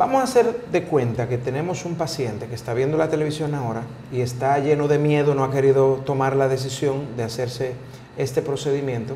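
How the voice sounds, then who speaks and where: Fairly quick speech with fairly even intonation comes through audible room echo and light background noise. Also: man. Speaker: talk show host. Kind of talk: casual interview chat. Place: studio. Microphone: lapel.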